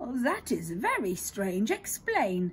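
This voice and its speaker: Over clear background noise, a woman puts on a character voice at a fairly high pitch and a fairly slow pace. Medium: read story. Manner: slow, lordly.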